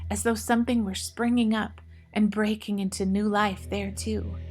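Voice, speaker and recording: A woman's voice over music in the background. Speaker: audiobook narrator. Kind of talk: audiobook narration of a story.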